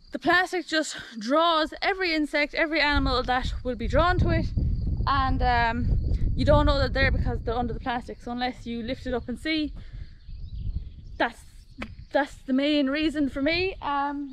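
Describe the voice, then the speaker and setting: A woman with a high pitch and ordinary pitch variation, long, frequent pauses, a dry sound with no echo and light background noise. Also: moderate pace. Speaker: farm vlogger. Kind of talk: casual vlog chat. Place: garden. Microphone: phone near.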